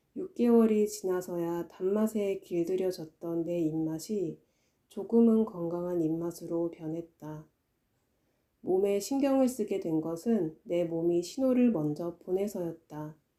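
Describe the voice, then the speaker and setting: Very slow speech from a woman, fairly low in pitch, dark and mellow in tone, with ordinary pitch variation. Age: 40s. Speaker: artist and vlogger running an online art studio. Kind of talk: reflective personal essay narration.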